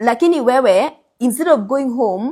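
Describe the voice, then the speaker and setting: A woman with a Kenyan accent and lively intonation, on a very clean recording with a silent background. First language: Kikuyu. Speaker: finance content creator and life insurance advisor. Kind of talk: advice monologue to camera. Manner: animated.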